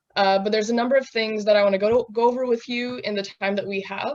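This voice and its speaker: A woman's fairly high voice with fairly even intonation, an ordinary speaking voice, and a quiet background. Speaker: software instructor. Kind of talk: tutorial.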